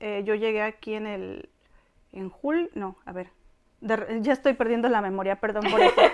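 A woman's fairly high voice at a moderate pace, lively in intonation, with big swings in loudness over light background noise. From Mexico, Tampico; Mexico. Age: 40s. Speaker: Mexican immigrant wife in Korea; interviewee. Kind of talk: interview, personal story. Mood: reflective, earnest. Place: home room. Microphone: lapel.

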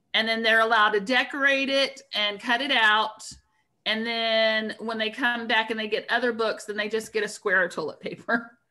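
With an American accent, a woman talks at a moderate pace in a bright, sharp tone and monotone, flat intonation over a quiet background. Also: fairly high pitch for a woman. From Florida. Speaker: school librarian; school librarian or teacher. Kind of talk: casual chat. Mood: friendly, chatty. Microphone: video call.

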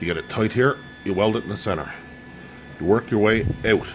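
Over music in the background, a man with a fairly low-pitched voice talks at a fairly quick pace. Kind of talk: tutorial. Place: garage. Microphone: phone near.

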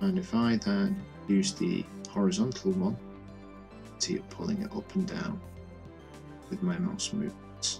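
The speech moves at a fairly slow pace with long, frequent pauses, and music plays in the background. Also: man. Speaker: Blender tutorial creator. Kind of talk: software tutorial narration.

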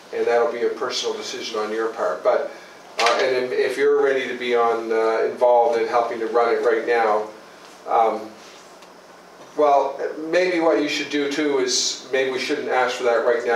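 With a room echo you can hear and some light noise behind him, a man talks at a moderate pace. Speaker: provincial politician. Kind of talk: community meeting. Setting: meeting room with small audience. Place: meeting room. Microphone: camera far.

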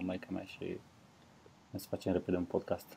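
A man speaks with a dark, mellow tone at a very deep, low pitch. His intonation is monotone and flat, with light background noise. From Romania. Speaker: comedian, podcast co-host. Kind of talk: casual chat. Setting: remote call, at home, wearing headphones.

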